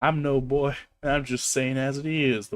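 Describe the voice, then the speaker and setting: A man's put-on character voice, growling and gruff, at medium pitch and a moderate pace. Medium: game stream. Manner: gruff, growling.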